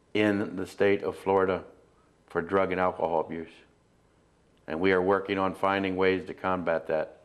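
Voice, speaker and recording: Against a quiet background, a man speaks in a very deep, low voice with flat, monotone intonation and long, frequent pauses. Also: moderate pace. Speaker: homeless shelter director and show host. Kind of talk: community TV show hosting.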